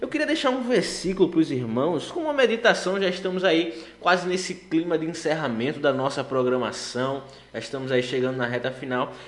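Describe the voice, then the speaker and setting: A fairly high-pitched man with lively intonation at a fairly quick pace, over noticeable background noise. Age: 20s. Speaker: gospel radio host and law student.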